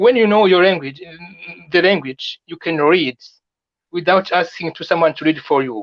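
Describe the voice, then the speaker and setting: The speech moves at a moderate pace. It carries a French accent. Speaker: immigration advice video maker. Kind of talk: live stream chat. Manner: halting, many repetitions.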